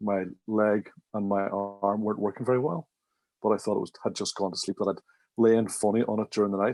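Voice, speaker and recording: A man with a Northern Irish accent speaks at a fairly quick pace and fairly low pitch with fairly even intonation, the sound dry and close with no echo against a quiet background. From Northern Ireland, Derry. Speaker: management consultant and trainer. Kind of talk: podcast interview.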